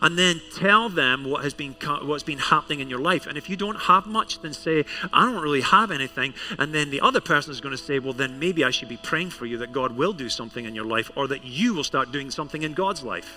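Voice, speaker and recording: With a Scottish accent, a man speaks at a fairly high pitch with lively intonation and hardly any pauses. There is noticeable background noise. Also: fairly quick pace. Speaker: pastor. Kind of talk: sermon. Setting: church service with congregation.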